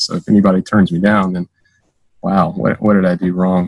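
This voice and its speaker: A man with an American accent speaks at a moderate pace in a normal speaking voice with a fairly low pitch. The sound is dry and close, with no echo. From US South, Georgia. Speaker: Air Force cyber superintendent. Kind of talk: casual interview.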